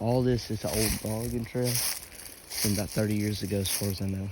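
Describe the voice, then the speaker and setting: A man at fairly low pitch with ordinary pitch variation, amid noticeable background noise and audible room echo. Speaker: hunting vlogger. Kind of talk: casual outdoor vlog narration. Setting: outdoors in woods. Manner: hesitant, many fillers; quiet.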